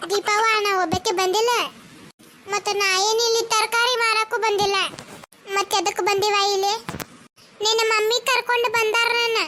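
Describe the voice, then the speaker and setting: A cartoonish character voice from a woman, extremely high-pitched and monotone, with very even loudness and a fairly slow pace. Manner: scolding, taunting.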